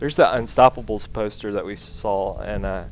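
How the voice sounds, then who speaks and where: Here a man speaks with a Southern US accent. His pace is moderate. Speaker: let's play gamer. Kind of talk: gameplay commentary. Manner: casual, with frequent filler words.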